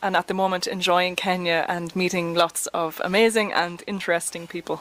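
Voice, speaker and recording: A woman with an Irish accent at a moderate pace. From Ireland. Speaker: traveler interviewed as guest. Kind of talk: interview.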